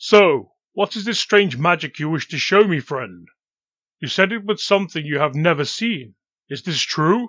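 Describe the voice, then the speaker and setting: Using a put-on character voice pitched high, a man speaks at a moderate pace. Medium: read story. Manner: grave, deliberate.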